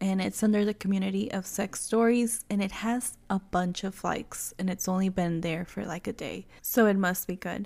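Speaking at a moderate pace with a Spanish accent, a woman keeps her intonation fairly even and hardly pauses. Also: medium pitch for a woman. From Mexico. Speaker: podcast host. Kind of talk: casual chat.

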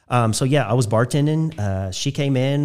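A man with an American accent, an unremarkable speaking voice, ordinary pitch variation and a moderate pace. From southern Indiana (Spencer County). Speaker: nonprofit executive director. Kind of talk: casual interview. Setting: studio.

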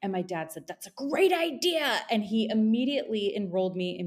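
A woman in a normal speaking voice, with lively intonation at a moderate pace. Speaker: esthetician, salon owner. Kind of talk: casual interview conversation.

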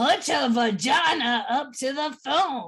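A woman puts on a character voice, speaking at a high pitch and a fairly slow pace. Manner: creepy, menacing, taunting.

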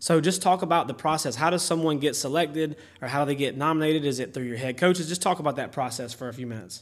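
A man with a Southern US accent speaks at a very fast pace with hardly any pauses. His fairly high voice has ordinary pitch variation. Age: 30s. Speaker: podcast host, football coach. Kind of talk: casual interview.

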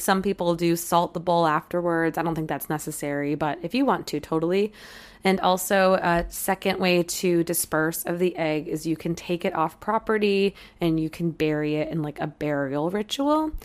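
Raspy female voice at a moderate pace. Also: fairly low pitch for a woman, ordinary pitch variation, very clean recording, silent background. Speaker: psychic medium and astrologer podcast host. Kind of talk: casual solo podcast talk. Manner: hesitant, with fillers.

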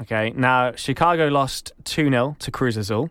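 In an English accent, a man talks fairly slowly at a medium pitch, keeping his intonation fairly even. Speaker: podcast co-host. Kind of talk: casual chat.

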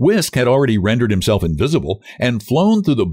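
The words are read out plainly. It is plain reading aloud.

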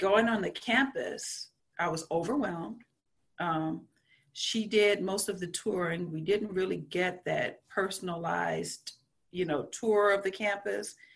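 A woman speaks at a medium pitch. Vocal fry runs through her voice. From rural south Louisiana. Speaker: school counselor. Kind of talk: interview.

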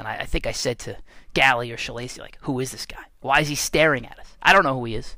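The voice is bright and sharp, animated in tone, and races along at a very fast pace. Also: man. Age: 40s. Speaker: strength and conditioning coach. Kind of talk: casual monologue podcast.

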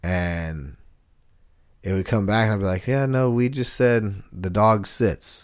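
This man has an unremarkable speaking voice with a fairly low pitch and ordinary pitch variation. He talks at a fairly slow pace in a very clean recording with a silent background. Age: 30s. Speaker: co-host and musician. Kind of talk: casual chat.

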